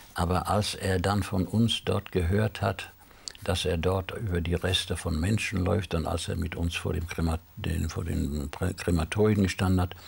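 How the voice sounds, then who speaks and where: Here a man speaks with a very deep, low pitch. His pace is moderate and his intonation fairly even. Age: 80s+. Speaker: Holocaust survivor; interview guest. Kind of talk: TV interview. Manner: halting. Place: studio. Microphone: lapel.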